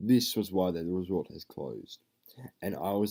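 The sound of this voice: The background stays quiet. Over it comes an unforced reading voice.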